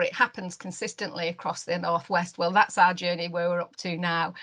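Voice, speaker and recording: Against a quiet background, a woman with a Lancashire accent speaks at a moderate pace and medium pitch in a bright, sharp tone. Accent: Wigan. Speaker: neonatal care network lead. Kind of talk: webinar presentation. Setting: online webinar. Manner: halting, many fillers.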